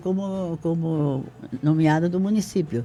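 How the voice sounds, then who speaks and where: The speech has ordinary pitch variation. Music plays in the background. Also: man. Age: 80s+. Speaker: retired teacher, local pioneer. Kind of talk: interview. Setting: radio studio, live.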